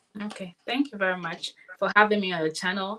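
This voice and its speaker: A woman speaks at a very fast pace in an energetic tone. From Nigeria. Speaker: nurse. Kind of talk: interview.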